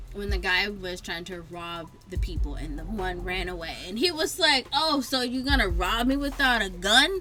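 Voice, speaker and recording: A woman with an American accent speaks at a medium pitch and moderate pace, hardly pausing, over music in the background with audible room echo. Her pitch swings very widely and her loudness shifts in big swings. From High Point, North Carolina. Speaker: podcast co-host. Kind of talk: casual chat. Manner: animated.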